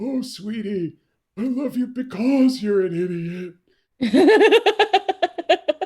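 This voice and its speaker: In a put-on character voice, a woman speaks with a high pitch and very wide pitch swings. Her pace is very slow. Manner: tender, affectionate.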